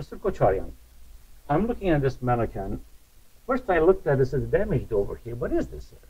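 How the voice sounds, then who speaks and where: The man's pace is very fast, broken up by long, frequent pauses. His loudness swings widely. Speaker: museum curator. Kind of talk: interview. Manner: formal. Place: hall. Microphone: lapel.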